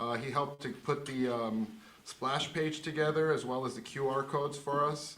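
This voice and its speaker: A moderate pace and fairly even intonation, with noticeable background noise and audible room echo. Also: man. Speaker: show host. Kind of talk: live show closing thanks. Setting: studio, live stream.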